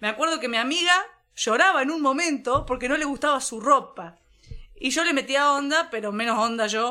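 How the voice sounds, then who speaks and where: A woman's high-pitched voice, raised and projected, with a bright, sharp tone. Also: ordinary pitch variation, moderate pace. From La Pampa, Argentina (near Córdoba border). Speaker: podcast co-host. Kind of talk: casual chat.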